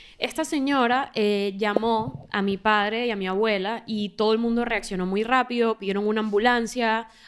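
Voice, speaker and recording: This woman has a normal speaking voice, fairly high in pitch, with ordinary pitch variation. She keeps a moderate pace with hardly any pauses. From Venezuela. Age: 20s. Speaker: podcast co-host. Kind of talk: casual interview conversation. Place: studio. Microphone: studio mic.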